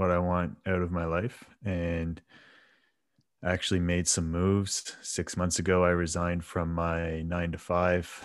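A fairly slow pace in a Canadian accent. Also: man. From Canada. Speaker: flexibility coach and former powerlifter. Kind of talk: casual interview. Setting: video call.

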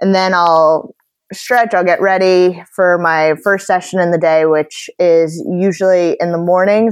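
An American woman speaks in a fairly low voice at a fairly slow pace, with fairly even intonation and an ordinary speaking voice. The sound is dry and close, with no echo. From Long Island, New York. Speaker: professional athlete. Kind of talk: interview.

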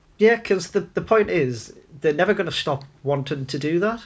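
A northern English accent at a moderate pace, ordinary pitch variation, and a very clean recording with a silent background. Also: man. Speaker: football podcast co-host. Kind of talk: casual banter chat. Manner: sweary, teasing.

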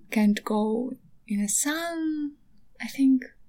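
A dark, mellow, somewhat breathy tone at a very slow pace. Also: woman. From eastern Ukraine. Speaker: podcaster and artist. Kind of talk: casual monologue. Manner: halting.

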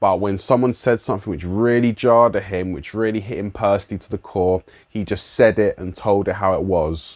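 Against a quiet background, a man with a London accent speaks at a moderate pace in a fairly low pitch with ordinary pitch variation. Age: 30s. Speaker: musician and youth worker. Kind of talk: solo reflective monologue. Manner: casual.

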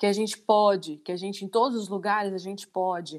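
Her voice sits at a medium pitch. The audio is very clean, and the background is completely silent. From Minas Gerais, Brazil (Divinópolis). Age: 30s. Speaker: lingerie entrepreneur. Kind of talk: interview discussion. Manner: halting, many repetitions.

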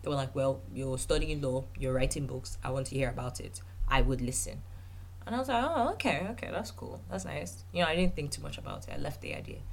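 With lively intonation, a woman speaks at an extremely low pitch. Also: fairly quick pace.

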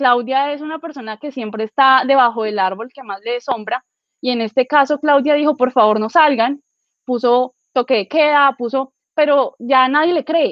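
Loudness swings widely as a woman speaks at a moderate pace. Her pitch is high. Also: ordinary pitch variation. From Villavicencio, Colombia. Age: 20s. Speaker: law student and political activist. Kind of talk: political panel discussion.

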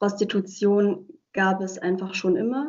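Speaking very slowly, the woman keeps her voice at a medium pitch. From Germany, Heilbronn (Baden-Württemberg). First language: Hungarian (speaking German). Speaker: legal scholar and civil servant. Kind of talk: interview. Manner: hesitant, many filler words.

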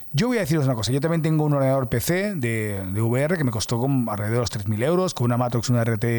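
The intonation here is lively. It belongs to a man with a medium-pitched voice. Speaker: podcast host, creative director. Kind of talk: casual monologue. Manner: halting, many restarts.

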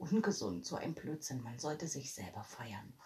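With a very deep, low pitch and a somewhat breathy sound, a woman speaks fairly slowly in an animated tone with lively intonation. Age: 40s. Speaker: podcaster. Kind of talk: casual monologue.

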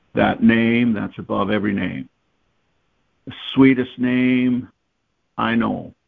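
The man's pitch is medium, his intonation fairly even. He talks at a very slow pace. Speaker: guest preacher. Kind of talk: worship prayer and preaching. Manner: fervent, worshipful.

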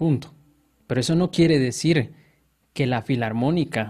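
The recording of this man is very clean, with a silent background. His voice sits at a medium pitch, somewhat breathy, with ordinary pitch variation. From Guatemala, Guatemala City. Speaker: software engineer. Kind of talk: casual interview.

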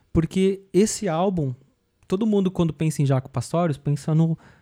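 Fairly high in pitch with ordinary variation, a man's voice carries a dark, mellow tone. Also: dry, close sound with no echo, very clean recording, silent background. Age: 40s. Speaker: rock bassist. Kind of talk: casual interview. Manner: halting, many repetitions.

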